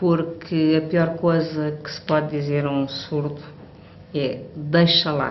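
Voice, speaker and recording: A woman speaks in a very deep, low voice with fairly even intonation. Audible room echo surrounds her. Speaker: hearing aid user. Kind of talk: testimony. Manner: halting.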